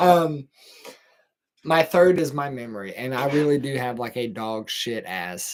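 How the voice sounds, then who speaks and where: Mumbling with a Texan accent, a man talks fairly slowly in a fairly high pitch, his intonation lively and his loudness swinging widely. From Texas. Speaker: podcast host. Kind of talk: casual monologue. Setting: livestream at home. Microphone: camera moved closer for better audio.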